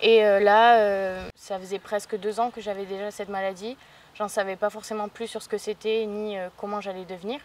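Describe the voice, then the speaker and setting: This is a woman speaking. Her loudness swings widely. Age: 20s. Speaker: patient with vitiligo. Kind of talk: testimony. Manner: hesitant, many fillers.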